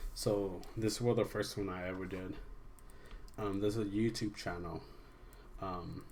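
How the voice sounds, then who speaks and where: Fairly slow, monotone, flat delivery from a man, with audible room echo. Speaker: amateur artist reviewing own drawings. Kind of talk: casual video commentary. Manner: halting, many restarts and fillers.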